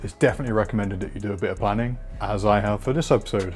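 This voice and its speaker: Music plays in the background. A man with a British accent talks at a fairly low pitch. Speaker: video producer. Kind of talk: tutorial. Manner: monotone; casual, informal.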